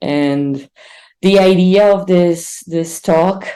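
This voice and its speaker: A woman talks in a Brazilian accent with a medium-pitched, dark, mellow tone. Her pitch varies normally, and audible room echo fills the space. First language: Portuguese. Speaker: R instructor and conference speaker. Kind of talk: online conference talk. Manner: hesitant, many fillers.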